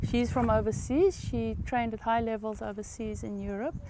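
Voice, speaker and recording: A woman speaks at a moderate pace. The sound is dry with no echo, and there is noticeable background noise. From Eswatini. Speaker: farm owner. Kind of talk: interview.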